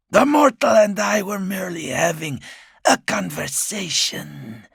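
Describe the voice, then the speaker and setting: In a put-on character voice, a man speaks at a fairly slow pace with a high, raspy, hissing tone and very wide pitch swings. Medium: read story. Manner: hissing, leering.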